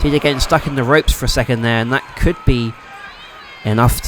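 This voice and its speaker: Over noticeable background noise, a man with a medium pitch speaks with fairly even intonation. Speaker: wrestling commentator. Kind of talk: play-by-play sports commentary.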